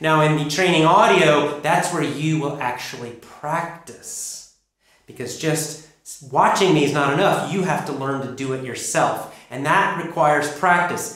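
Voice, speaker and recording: With an American accent and an unremarkable speaking voice, a man of fairly high pitch speaks at a moderate pace with ordinary pitch variation. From United States. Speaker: English pronunciation teacher. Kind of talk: online course lesson.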